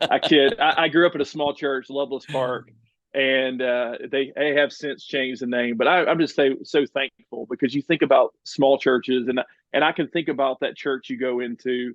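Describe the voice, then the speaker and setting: Fairly high in pitch, a man speaks with a Southern US accent. His intonation is fairly even. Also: moderate pace. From US South, central Alabama near Birmingham. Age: 40s. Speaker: church partnerships director at a charity. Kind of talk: podcast interview.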